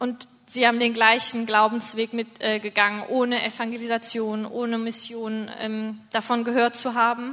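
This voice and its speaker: A moderate pace with hardly any pauses, in monotone, flat intonation. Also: woman, fairly high pitch for a woman. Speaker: mission team leader. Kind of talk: testimony. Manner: halting.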